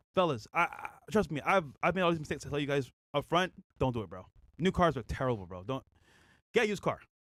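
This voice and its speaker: A man talks at a very fast pace with an animated tone, very wide pitch swings and vocal fry at a fairly high pitch. He takes long, frequent pauses on a very clean recording with a silent background. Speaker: podcast co-host. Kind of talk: casual chat.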